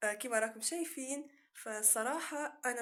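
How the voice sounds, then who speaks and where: With a Tunisian accent, a woman speaks at a fairly slow pace with ordinary pitch variation. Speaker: YouTuber. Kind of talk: casual vlog.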